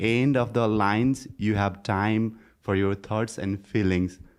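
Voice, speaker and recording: A man speaks at a medium pitch with a non-native accent. His pace is fairly slow, his pitch varies in an ordinary way, and the background is quiet. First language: not English. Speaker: student. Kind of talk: audience question. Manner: halting.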